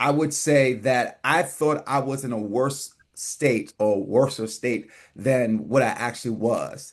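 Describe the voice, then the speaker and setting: Talking at a fairly slow pace, a man with a New York accent has a medium-pitched voice. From New York City, the Bronx. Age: 40s. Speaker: weight-loss transformation speaker. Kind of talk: podcast interview. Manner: many fillers and repetitions.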